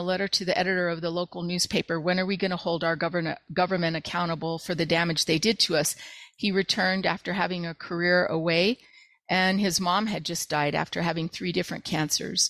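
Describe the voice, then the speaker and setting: A woman speaks with a New Mexican accent and fairly even intonation. The sound is dry and close with no echo, and the background is quiet. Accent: New Mexican American English. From southern New Mexico. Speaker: roofer and advocate for radiation victims. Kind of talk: interview. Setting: video call.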